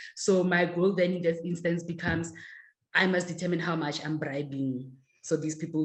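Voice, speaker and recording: Somewhat breathy and fairly low, a woman's voice shows ordinary pitch variation. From South Africa, Pretoria. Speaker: author and travel writer. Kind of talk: virtual book talk interview.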